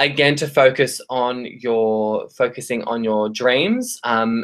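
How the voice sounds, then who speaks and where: Here a man talks with an Australian accent. His pitch is medium, with ordinary variation. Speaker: tarot reader. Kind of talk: live stream tarot readings. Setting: live stream. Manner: hesitant, many fillers.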